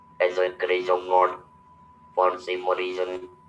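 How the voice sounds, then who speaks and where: A man with a very deep, low voice speaks very slowly in a flat monotone against noticeable background noise. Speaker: motivational speaker. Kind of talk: webinar talk. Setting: video call.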